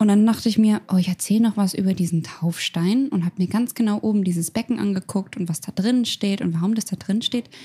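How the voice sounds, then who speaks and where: A woman's medium-pitched, somewhat breathy voice with a dark, mellow tone, a fairly quick pace and ordinary pitch variation, in a dry, close sound with no echo. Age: 20s. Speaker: youth officer and beauty pageant winner. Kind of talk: casual chat.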